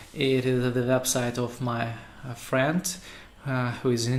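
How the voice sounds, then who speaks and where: A man with a Russian accent at a very slow pace, amid noticeable background noise and audible room echo. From Russia, Saint Petersburg. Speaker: web developer. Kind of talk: tutorial. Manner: halting, many fillers.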